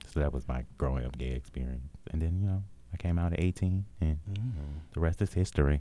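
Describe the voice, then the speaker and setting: Very deep and low in pitch, a man with an American accent talks at a fairly quick pace in a dark, mellow tone with ordinary pitch variation. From US Midwest, Milwaukee, Wisconsin. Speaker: podcast co-host. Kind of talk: casual interview.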